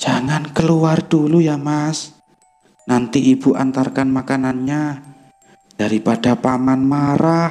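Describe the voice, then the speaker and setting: A man puts on a character voice, fairly high in pitch, at a fairly slow pace with fairly even intonation. Faint music plays in the background, along with hissing. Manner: warning.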